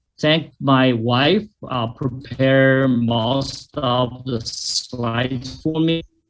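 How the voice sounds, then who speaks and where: Over music in the background, the speech goes at a very slow pace with hardly any pauses and fairly even intonation. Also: man, medium pitch for a man. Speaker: doctor giving a health presentation. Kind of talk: webinar presentation. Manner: hesitant, many fillers.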